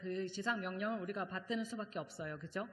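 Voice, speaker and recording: Audible room echo around a woman talking fairly quickly. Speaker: seminary professor and guest preacher. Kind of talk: sermon. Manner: fast; conversational, many fillers.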